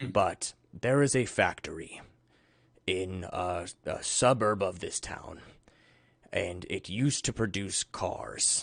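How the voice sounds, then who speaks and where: A put-on character voice from a man, raspy and fairly low in pitch, at a fairly slow pace with long, frequent pauses, against a quiet background. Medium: actual play. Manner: earnest, persuasive.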